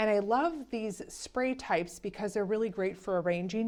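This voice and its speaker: A woman talks at a moderate pace in an animated tone. The background is quiet. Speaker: flower farmer. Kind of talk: casual garden tour. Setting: outdoors in fading light.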